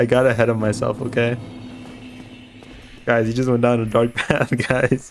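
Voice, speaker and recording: With music in the background, a man talks at a moderate pace and medium pitch in a monotone, flat intonation. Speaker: streamer. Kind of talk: live gameplay stream chat. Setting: live stream. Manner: sounds sarcastic.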